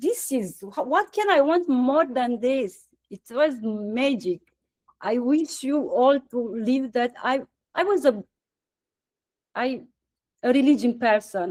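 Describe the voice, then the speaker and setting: A woman speaks with a Romanian accent, her high pitch carried by lively intonation. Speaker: satsang participant. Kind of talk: Q&A sharing. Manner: halting.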